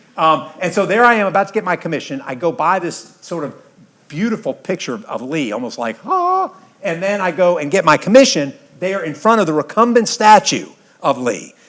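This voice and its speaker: A man with an American accent, high-pitched and animated, with lively intonation, a moderate pace and noticeable background noise. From US South. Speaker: history professor and retired army general. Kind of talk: lecture. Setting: stage with audience.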